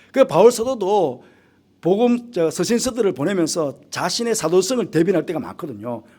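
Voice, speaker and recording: A high-pitched male voice with a dark, mellow tone and very wide pitch swings, at a moderate pace, on a very clean recording with a silent background. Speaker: pastor. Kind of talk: sermon. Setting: church midweek service.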